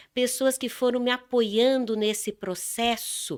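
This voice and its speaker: On a very clean recording with a silent background, a woman speaks at a fairly high pitch and a very slow pace. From Brazil, São Paulo. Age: 60s. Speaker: dance therapist and speaker. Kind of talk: interview. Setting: studio.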